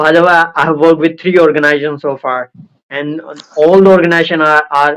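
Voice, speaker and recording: A man with an American accent speaks in a fairly high pitch with monotone, flat intonation. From India, Indore. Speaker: former call center worker. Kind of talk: casual chat.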